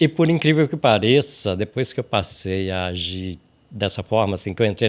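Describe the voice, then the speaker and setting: A man is speaking. His pace is fairly quick. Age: 60s. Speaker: podcast host. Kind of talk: casual chat.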